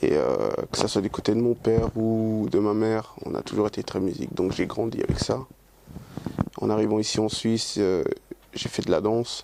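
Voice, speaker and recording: A man speaks at a moderate pace with long, frequent pauses. Noticeable background noise runs underneath. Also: ordinary pitch variation. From Dominican Republic, grew up in Switzerland. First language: Spanish (speaking French). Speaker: singer. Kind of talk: interview. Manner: hesitant, many fillers and repetitions.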